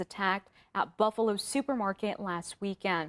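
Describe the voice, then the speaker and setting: A woman speaks at a moderate pace in an unremarkable speaking voice, her intonation fairly even. The recording is very clean, with a silent background and a dry, close sound with no echo. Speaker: news anchor. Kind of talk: TV news anchor read. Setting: studio.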